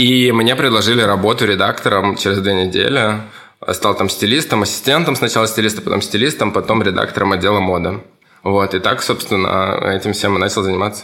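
A man's bright, sharp tone at a fairly quick pace, fairly low in pitch, with ordinary pitch variation and very even loudness. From Russian Far East (Kamchatka). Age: 30s. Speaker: stylist and fashion teacher. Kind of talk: interview answering kids' questions.

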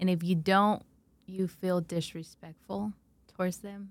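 A woman with a normal speaking voice, fairly low in pitch, talks at a moderate pace with fairly even intonation. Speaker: podcast host. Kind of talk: casual interview.

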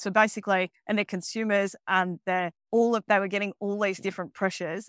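Her Australian accent comes through at a fairly quick pace. The woman's medium pitch stays monotone and flat, with a dry, close sound and no echo. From Melbourne, Australia. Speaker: ESG and sustainable finance expert. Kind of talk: casual interview. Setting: video call from home in Mexico.

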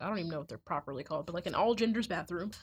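Over a quiet background, a woman speaks in a somewhat breathy voice with ordinary pitch variation. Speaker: college student. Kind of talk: casual chat.

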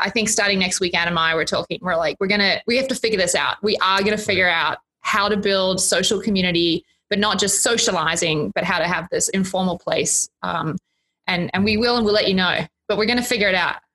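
Speaking with an Australian accent, a woman talks at a very fast pace with very even loudness. Her pitch is medium, with ordinary variation. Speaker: college dean. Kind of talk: casual chat.

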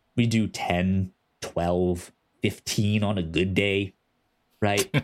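Speaking slowly, a man uses a low pitch and fairly even intonation.

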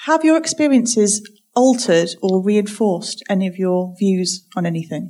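Lively intonation runs through a woman's plain, everyday voice, which sits at a medium pitch and moves at a moderate pace. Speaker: event moderator. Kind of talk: audience Q&A moderation. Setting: stage with audience.

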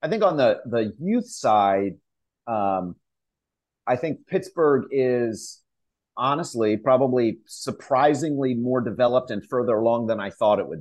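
Against a quiet background, the speaker uses an unremarkable speaking voice with an American accent, lively intonation and a fairly slow pace. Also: man, medium pitch for a man. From Pennsylvania (York). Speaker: soccer club executive. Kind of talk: interview.

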